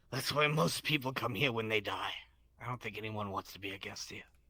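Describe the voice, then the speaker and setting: A man puts on a raspy character voice at medium pitch, moving at a fairly quick pace. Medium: actual play. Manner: dry, world-weary.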